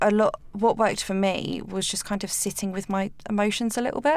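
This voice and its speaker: A woman speaks with an English accent at a moderate pace, her medium pitch showing ordinary variation. The recording is very clean, with a silent background. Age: 20s. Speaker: cancer patient guest. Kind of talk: interview. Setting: studio.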